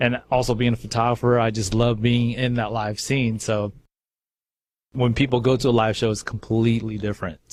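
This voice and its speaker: A man at a fairly quick pace and medium pitch, monotone and flat in intonation, with an American accent, on a very clean recording with a silent background. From California. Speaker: radio host. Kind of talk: casual chat.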